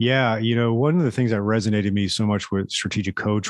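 A man with an American accent, a plain, everyday voice, fairly low pitch and ordinary pitch variation, in a dry, close sound with no echo against a quiet background. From South Florida. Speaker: chiropractor. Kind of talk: interview.

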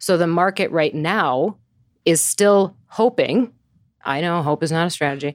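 A woman speaks in an ordinary speaking voice with an American accent, fairly low in pitch and with ordinary pitch variation, at a fairly slow pace. The recording is very clean, with a silent background and a dry, close sound with no echo. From US Midwest. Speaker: market strategist. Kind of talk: casual chat.

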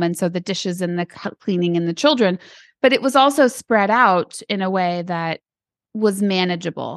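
A woman with an American accent speaks at a moderate pace in a medium pitch, with ordinary pitch variation and a normal speaking voice. The background is quiet, and the sound is dry and close with no echo. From Arizona. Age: 40s. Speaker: author and business owner. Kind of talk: interview.

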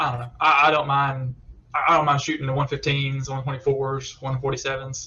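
A man talks in a Southern US accent. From Alabama.

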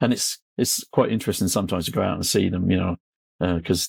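Here a man speaks at a very fast pace in a West Country accent. His pitch is very deep and low. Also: dry, close sound with no echo. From England. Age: 60s. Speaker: construction machinery blogger and journalist. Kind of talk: casual interview chat.

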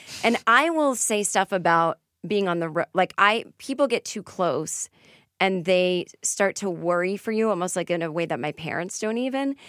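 Lively intonation and an American accent come through at a moderate pace on a very clean recording with a silent background and a dry, close sound with no echo. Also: woman, medium pitch for a woman. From Boston area, Massachusetts. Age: 40s. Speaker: comedian and author. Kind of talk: casual chat.

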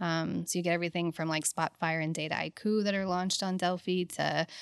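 A woman with an American accent talks very fast in a flat monotone. The recording is very clean and dry, close with no echo, against a silent background. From Louisiana. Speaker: oil and gas executive. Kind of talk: casual interview chat.

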